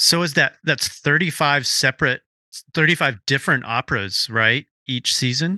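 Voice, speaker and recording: Talking at a fairly slow pace, a man with an unremarkable speaking voice sits at a fairly high pitch with ordinary pitch variation, in a dry, close sound with no echo. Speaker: podcast host and editor. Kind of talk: casual interview conversation. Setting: remote call with guest.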